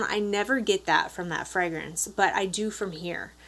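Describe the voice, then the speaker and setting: Speaking at a fairly quick pace, a woman with a slight Upper Peninsula Michigan accent has a medium pitch and fairly even intonation. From Upper Peninsula of Michigan. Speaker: beauty vlogger. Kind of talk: product review. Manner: casual.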